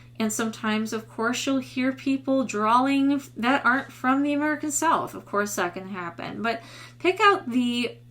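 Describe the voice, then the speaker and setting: Speaking in a Midwestern accent, a woman with a high pitch keeps a moderate pace and lively intonation. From US Midwest. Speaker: voice teacher. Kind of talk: tutorial.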